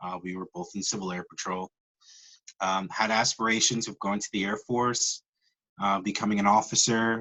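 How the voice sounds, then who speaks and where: Monotone, flat intonation at a moderate pace, in an American accent. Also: man, fairly low pitch for a man. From New York. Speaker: network marketer. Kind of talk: personal testimony. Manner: halting, many fillers.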